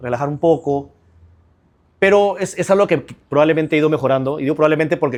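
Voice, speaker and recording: An energetic man speaks at a fairly high pitch with ordinary pitch variation in a very clean recording with a silent background. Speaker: trial lawyer. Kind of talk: interview conversation. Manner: fast.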